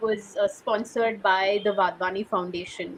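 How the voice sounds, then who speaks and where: A woman speaks at a fairly high pitch with a Sindhi accent. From India, Sindhi family. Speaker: oral history interviewer and writer. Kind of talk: interview.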